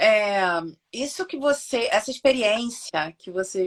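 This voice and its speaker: A plain, everyday voice from a woman, pitched fairly high, at a fairly slow pace with ordinary pitch variation. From Brazil. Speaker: physiotherapist. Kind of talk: casual interview on a live stream.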